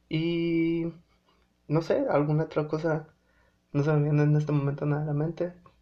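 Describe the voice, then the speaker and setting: Somewhat breathy, a man talks in a fairly high pitch with a dark, mellow tone. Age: 20s. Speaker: podcast host. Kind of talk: casual monologue. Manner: halting, many fillers.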